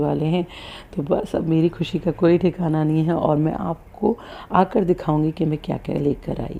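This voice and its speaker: A woman speaks at a very deep, low pitch with fairly even intonation. Her tone is dark and mellow. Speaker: vlogger, mother of two. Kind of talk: casual vlog.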